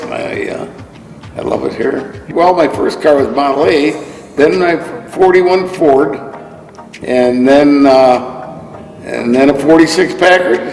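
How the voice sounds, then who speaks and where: The speech is very slow, with long, frequent pauses. Audible room echo and noticeable background noise surround it. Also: man. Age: 80s+. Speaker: car collector. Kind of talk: casual interview. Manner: halting, many fillers.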